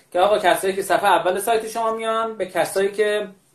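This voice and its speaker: A man talks in a high-pitched voice. His pace is moderate. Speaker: podcast host. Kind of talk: news reading. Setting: remote live call. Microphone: echo from mic near speaker, poor quality.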